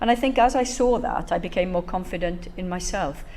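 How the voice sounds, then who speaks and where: There is audible room echo and noticeable background noise. A woman speaks at medium pitch with a Welsh accent. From Wales, Bridgend. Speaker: professor. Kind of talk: talk to an audience. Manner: conversational, with many fillers.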